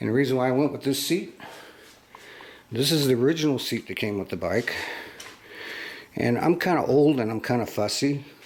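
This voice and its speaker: A man's medium-pitched voice at a fairly quick pace, with ordinary pitch variation and long, frequent pauses. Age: 60s. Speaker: product reviewer. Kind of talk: casual product walkthrough. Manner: casual, halting with fillers.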